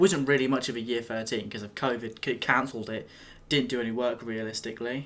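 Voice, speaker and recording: In a British accent, a man talks at a fairly quick pace, holding a medium pitch with fairly even intonation. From England. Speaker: YouTuber. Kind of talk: casual talk to camera, reaction video.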